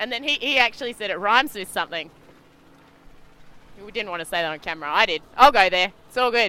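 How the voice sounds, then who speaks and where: A woman with an Australian accent, medium pitch, bright, sharp and animated tone, lively intonation, a very fast pace broken by long, frequent pauses, and big swings in loudness. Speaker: sailing race commentator. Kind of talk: live commentary.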